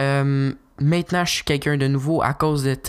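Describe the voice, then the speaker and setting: A man speaks at a moderate pace and a fairly high pitch. His intonation stays fairly even. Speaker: podcaster. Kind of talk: casual solo monologue. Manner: casual, laughing at own jokes.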